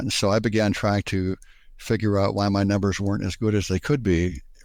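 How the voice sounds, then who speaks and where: Fairly quick delivery with ordinary pitch variation, on a very clean recording against a silent background. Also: man. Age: 60s. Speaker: patient with diabetes. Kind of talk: interview. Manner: halting, with many fillers and repeats.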